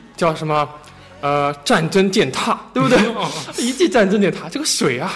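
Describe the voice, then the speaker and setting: With a strong Shanghai accent, a man speaks at a high pitch with very wide pitch swings against noticeable background noise. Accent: strong Shanghainese accent in Mandarin. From Shanghai, China. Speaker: podcast host. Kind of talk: casual chat. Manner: fast.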